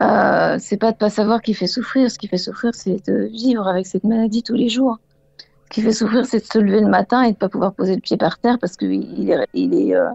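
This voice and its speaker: Speaking at a moderate pace, a woman uses a fairly high pitch with vocal fry. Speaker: caller living with Parkinson's disease. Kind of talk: radio call-in testimony. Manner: halting, many hesitations.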